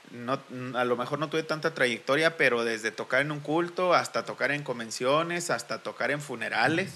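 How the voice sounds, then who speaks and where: Speaking at a moderate pace with ordinary pitch variation, a man uses a normal speaking voice that sits fairly high in pitch. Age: 30s. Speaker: church musician. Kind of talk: casual chat.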